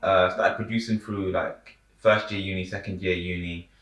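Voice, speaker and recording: A man with a London accent, a bright, sharp tone and a fairly quick pace. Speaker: rapper and producer. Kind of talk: casual chat. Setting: on a sofa.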